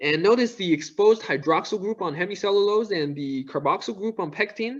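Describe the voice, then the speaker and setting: The speaker is a man in a non-native accent. His voice rises and falls in a lively way. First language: not English. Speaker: student. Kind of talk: academic seminar presentation. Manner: hesitant, stuttering.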